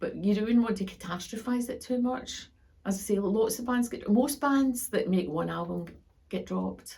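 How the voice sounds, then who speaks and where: A woman speaks at a moderate pace with vocal fry. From Scotland, Glasgow. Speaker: professor. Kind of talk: interview. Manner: halting, with frequent fillers.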